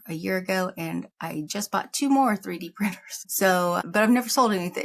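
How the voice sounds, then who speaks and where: This woman's voice is somewhat breathy and sits at a medium pitch. She talks at a moderate pace, with ordinary pitch variation. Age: 50s. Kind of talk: casual talk to camera. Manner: rambling, humorous.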